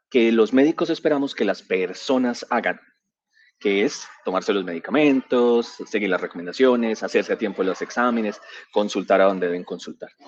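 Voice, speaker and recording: Moderate pace and medium pitch from a man, pitch varying in an ordinary way. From Colombia, San Andrés island, raised in Medellín. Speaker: physician and digital transformation director, conference speaker. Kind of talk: conference presentation. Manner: hesitant, with fillers and repetitions.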